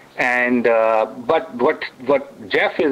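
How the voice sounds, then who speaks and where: A man with an Indian accent talks at a medium pitch and fairly even intonation, with noticeable background noise behind him. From India, New Delhi. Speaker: author and technologist. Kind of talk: radio interview. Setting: radio studio.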